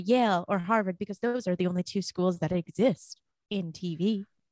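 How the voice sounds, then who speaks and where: A woman with an unremarkable speaking voice talks at a moderate pace with ordinary pitch variation, in a dry, close sound with no echo. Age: 20s. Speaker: podcast co-host guest. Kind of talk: casual chat.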